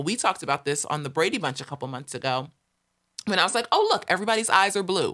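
A woman's bright, sharp voice with a General American accent and very wide pitch swings, against a quiet background. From US West. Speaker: podcast host. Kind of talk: casual chat. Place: studio. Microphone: studio mic.

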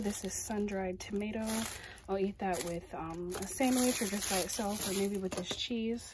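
There is noticeable background noise behind this woman, who talks at a fairly slow pace. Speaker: home vlogger. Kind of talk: casual vlog chat. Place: kitchen. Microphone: phone near.

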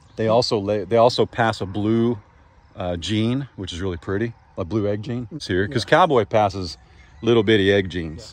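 A man with a fairly low pitch and ordinary pitch variation talks at a fairly quick pace in an ordinary speaking voice. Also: dry sound with no echo. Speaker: farmer vlogger. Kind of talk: casual vlog chat. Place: open country. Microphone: phone near.

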